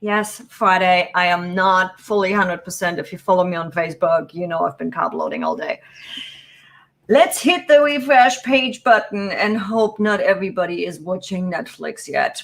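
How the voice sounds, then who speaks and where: A woman with a non-native accent speaks at a medium pitch with ordinary pitch variation. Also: moderate pace. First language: not English. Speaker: business productivity youtuber. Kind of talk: live stream tutorial. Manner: casual, chatty.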